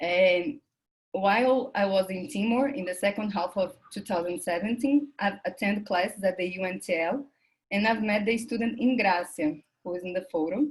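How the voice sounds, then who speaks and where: A woman speaks at a moderate pace in a somewhat breathy voice with ordinary pitch variation. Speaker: academic researcher presenting at a conference. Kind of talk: conference presentation, partly read from paper. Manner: halting with self-corrections.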